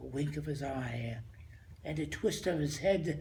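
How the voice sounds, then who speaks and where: A man speaks at a very slow pace, his voice somewhat breathy. His intonation is lively. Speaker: grandfather. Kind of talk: poetry reading.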